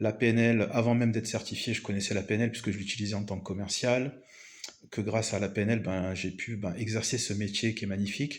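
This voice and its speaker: At a fairly quick pace, a man speaks with monotone, flat intonation. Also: fairly low pitch for a man. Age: 40s. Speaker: business coach. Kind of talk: video presentation monologue. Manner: hesitant with many fillers.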